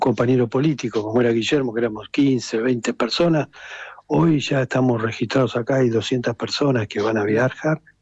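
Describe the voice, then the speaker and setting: In a normal speaking voice of medium pitch, a man talks at a moderate pace with fairly even intonation. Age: 60s. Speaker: political activist. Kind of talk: radio interview.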